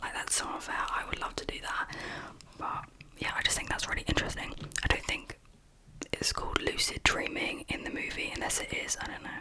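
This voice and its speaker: Someone whispers at a fairly quick pace over noticeable background noise. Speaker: ASMR creator. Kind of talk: ASMR chit chat. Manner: whispered.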